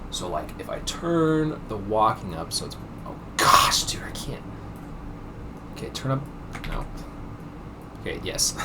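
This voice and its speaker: Amid noticeable background noise and audible room echo, a man speaks quietly at a fairly slow pace, with long, frequent pauses and big swings in loudness. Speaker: game developer showing a project. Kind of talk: casual screen-recorded walkthrough. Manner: hesitant, many fillers; quiet, holding voice down.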